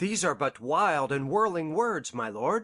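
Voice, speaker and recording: Putting on a character voice, a man speaks fairly slowly at a fairly high pitch, swinging his pitch very widely. The background is quiet. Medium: audio drama.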